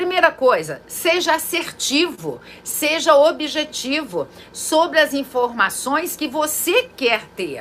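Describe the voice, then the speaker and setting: A woman with a high pitch speaks very slowly over noticeable background noise. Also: lively intonation. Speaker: psychologist and therapist. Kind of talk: informal talk to camera. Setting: at home.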